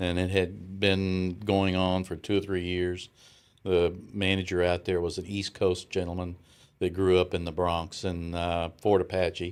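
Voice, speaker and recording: A man's very deep, low voice in a strong Southern US accent, monotone and flat, at a fairly slow pace, on a very clean recording with a silent background. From US South. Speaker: retired businessman. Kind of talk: interview. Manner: halting.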